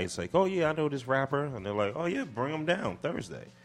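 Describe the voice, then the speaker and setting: Lively intonation with a New York accent. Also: man. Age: 40s. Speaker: hip hop producer and executive. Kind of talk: casual interview. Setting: radio studio.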